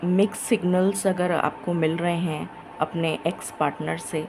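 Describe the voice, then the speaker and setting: Over music in the background, a woman speaks quietly and very slowly, her fairly low pitch held in fairly even intonation. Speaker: tarot reader. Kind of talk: tarot reading monologue.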